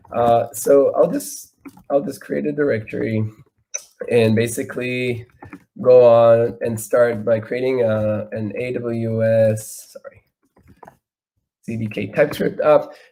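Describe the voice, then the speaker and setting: Speaking very slowly with long, frequent pauses, a man with a non-native accent talks at medium pitch, his loudness swinging widely. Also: fairly even intonation. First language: not English. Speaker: software engineer, conference speaker. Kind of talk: live coding talk. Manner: halting, many fillers and repetitions.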